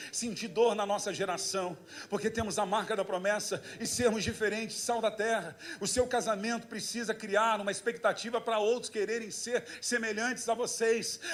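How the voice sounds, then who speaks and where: Noticeable background noise fills the recording. The delivery sounds animated throughout. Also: man, high pitch for a man, moderate pace. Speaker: pastor. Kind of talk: sermon.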